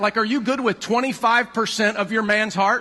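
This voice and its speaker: A man with a high pitch speaks in a raised, projected voice at a fairly quick pace. His tone is animated, and noticeable background noise is present. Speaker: pastor. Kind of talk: sermon. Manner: fast.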